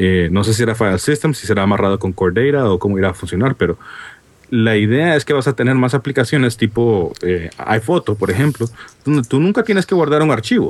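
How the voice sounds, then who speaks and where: A man with an ordinary speaking voice talks at a fairly quick pace and medium pitch with lively intonation. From Honduras. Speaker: app developer. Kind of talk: casual chat.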